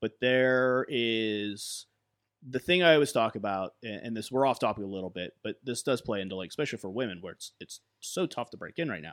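In an ordinary speaking voice, a man talks at a moderate pace with lively intonation, in a dry, close sound with no echo. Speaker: wrestling promotion talent relations head. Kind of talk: casual panel discussion.

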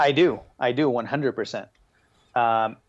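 Here a man talks at a medium pitch. The pitch varies in an ordinary way. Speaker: sponsored drifting driver. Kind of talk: casual interview chat. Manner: casual, laughs often.

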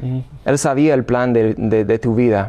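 A man speaks with an American accent at a medium pitch. His pace is fairly slow and his tone dark and mellow. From US Midwest, Illinois. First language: English (speaking Spanish). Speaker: seminarian and former professional soccer player. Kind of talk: interview. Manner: halting.

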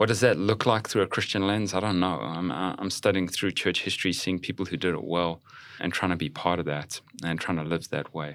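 On a very clean recording with a silent background, a man with a South African accent and a very deep, low pitch speaks at a fairly quick pace with ordinary pitch variation. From South Africa, Johannesburg. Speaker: pastor. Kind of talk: casual chat.

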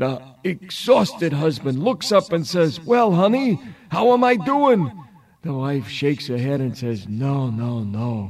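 An animated man with a fairly high pitch talks at a fairly slow pace, his pitch swinging very widely. Noticeable background noise is present. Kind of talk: stand-up comedy routine with punchline-driven turkey puns and crowd work. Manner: animated, cheeky, punchy joke-teller with showbiz patter and timed pauses.

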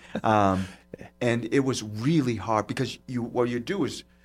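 A man's animated tone in a Boston accent. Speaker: podcast host. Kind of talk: casual chat. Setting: studio. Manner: jokey, animated.

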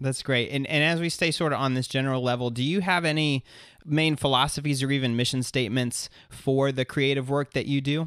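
A plain, everyday voice, this man talks at a fairly quick pace with a fairly high pitch, very even loudness, and fairly even intonation, on a very clean recording with a silent background. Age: 30s. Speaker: podcast host. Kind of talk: interview conversation.

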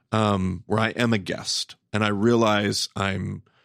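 Pitched fairly low, a man with an ordinary speaking voice keeps his intonation fairly even, recorded very cleanly against a silent background with a dry, close sound and no echo. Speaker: podcast host, Bible teacher. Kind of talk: podcast interview.

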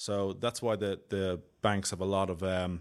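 With a Dublin accent, a man talks in a very deep, low pitch and a monotone, flat intonation. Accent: Irish (Dublin). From Dublin, Ireland. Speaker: solutions architect, IT expert. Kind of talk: casual interview.

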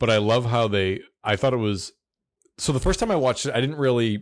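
A man talks at a fairly quick pace in an ordinary speaking voice, with ordinary pitch variation against a quiet background. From US South. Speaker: podcast host. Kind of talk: casual chat.

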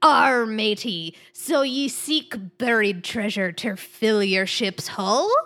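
A woman's put-on character voice, very slow with hardly any pauses. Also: fairly high pitch for a woman. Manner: playful.

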